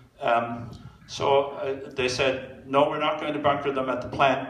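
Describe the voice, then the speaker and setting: A man talks at a moderate pace with fairly even intonation. Room echo is audible. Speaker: public presenter. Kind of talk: lecture. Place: hall. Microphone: podium.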